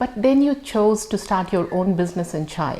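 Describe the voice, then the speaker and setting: Moving through very wide pitch swings, a woman talks at a moderate pace and medium pitch. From India. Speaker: podcast host. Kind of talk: interview.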